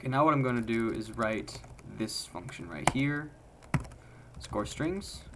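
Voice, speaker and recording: This man talks at a medium pitch and a moderate pace, with lively intonation and long, frequent pauses. Audible room echo and noticeable background noise surround his voice. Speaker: programming tutorial creator. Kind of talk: live coding tutorial.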